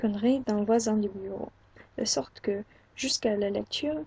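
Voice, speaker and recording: A woman with an English accent speaks in a dark, mellow tone that is somewhat breathy. Her intonation stays fairly even. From England. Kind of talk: book reading.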